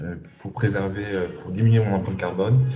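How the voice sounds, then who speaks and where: A man talks at a moderate pace with fairly even intonation. Audible room echo and noticeable background noise accompany him. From Senegal. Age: 30s. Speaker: entrepreneur. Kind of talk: testimony. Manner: halting.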